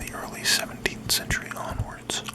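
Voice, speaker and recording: A whispering man at a moderate pace, with noticeable background noise. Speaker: ASMR creator / host. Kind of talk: ASMR fact reading. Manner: whispered, soft-spoken.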